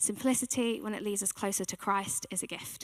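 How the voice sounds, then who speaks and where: A bright, sharp voice speaks at a moderate pace with fairly even intonation. The recording is very clean, with a silent background. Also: woman. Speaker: church team member giving a sermon. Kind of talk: sermon. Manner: soft-spoken.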